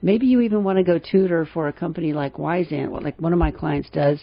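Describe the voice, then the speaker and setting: A plain, everyday voice from a woman, fairly low in pitch, fairly quick, with ordinary pitch variation. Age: 60s. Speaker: radio host and financial planner. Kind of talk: radio talk show commentary. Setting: radio studio.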